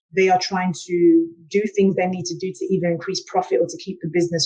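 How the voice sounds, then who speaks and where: A woman speaks with a South London accent at a moderate pace. Her voice is fairly low in pitch, with a dark, mellow tone. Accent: British, South London. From England, South London. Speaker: engineer and transformation coach. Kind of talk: panel discussion.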